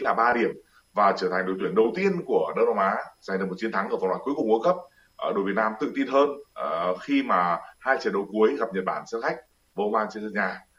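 The man races along at a very fast pace, his intonation lively. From northern Vietnam, Hanoi. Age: 40s. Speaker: football commentator. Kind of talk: interview. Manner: hesitant, many fillers.

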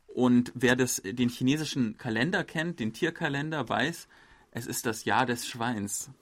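Speaking fairly slowly in an ordinary speaking voice, a man with a medium pitch and ordinary pitch variation is heard in a very clean recording over a silent background. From Germany. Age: 30s. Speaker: journalist and podcast host. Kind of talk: casual chat.

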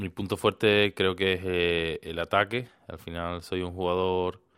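In a monotone, flat delivery, a man speaks at a moderate pace with a very deep, low pitch. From Spain. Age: 20s. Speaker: professional volleyball player. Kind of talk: interview. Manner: halting.

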